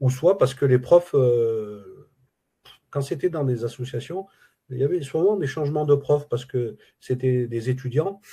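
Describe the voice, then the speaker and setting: A man with a dark, mellow tone speaks somewhat breathily, leaving long, frequent pauses. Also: medium pitch for a man, ordinary pitch variation. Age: 60s. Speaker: retired Arabic language student. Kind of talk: interview testimony. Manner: halting, many hesitations.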